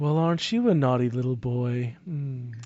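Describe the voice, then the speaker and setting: A man's put-on character voice at a medium pitch. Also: moderate pace. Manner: mocking, menacing.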